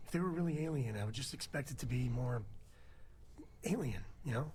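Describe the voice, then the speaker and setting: A man puts on a raspy character voice at a medium pitch. He goes at a fairly quick pace over clear background noise. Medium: video game. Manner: folksy, relaxed.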